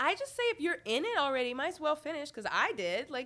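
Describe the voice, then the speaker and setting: A woman's high, animated voice with very wide pitch swings over noticeable background noise. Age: 20s. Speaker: singer-songwriter. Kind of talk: casual chat. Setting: studio.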